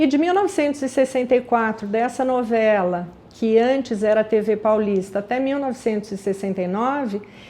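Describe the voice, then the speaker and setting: Speaking at a moderate pace with hardly any pauses, a woman has an unremarkable speaking voice, fairly high in pitch with ordinary pitch variation. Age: 60s. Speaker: aromatherapy business founder. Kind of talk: personal life story. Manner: conversational.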